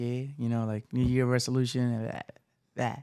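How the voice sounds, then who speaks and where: A man speaks in an animated tone. He has a non-native accent. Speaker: podcast host. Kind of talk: casual podcast intro.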